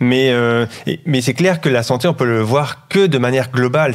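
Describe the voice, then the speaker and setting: A man with a medium pitch speaks at a fairly slow pace. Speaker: public health lecturer, former nurse. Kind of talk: interview. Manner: holding back volume.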